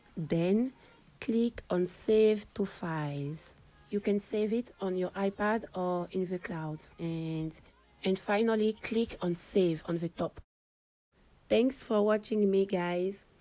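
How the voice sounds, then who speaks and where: Music plays in the background while a woman with a non-native accent talks at a very slow pace. Her voice is medium in pitch with ordinary pitch variation. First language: not English. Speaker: digital artist. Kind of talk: tutorial.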